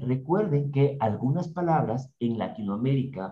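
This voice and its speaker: His dark, mellow tone is somewhat breathy, with lively intonation. The man speaks at a fairly slow pace. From Ecuador, Ambato. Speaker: co-host, digital and business strategist. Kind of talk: business podcast explainer.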